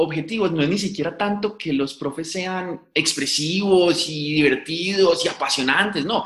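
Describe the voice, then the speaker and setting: The man speaks with a high pitch. His pitch variation is ordinary. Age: 20s. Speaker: science communicator. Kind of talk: interview.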